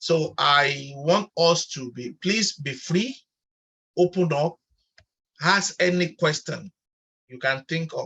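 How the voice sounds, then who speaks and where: A man with a high voice speaks very slowly, with long and frequent pauses, big swings in loudness, ordinary pitch variation, and a bright, sharp tone in a dry, close recording with no echo. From Nigeria. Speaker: online chat host and researcher. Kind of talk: online panel chat moderation.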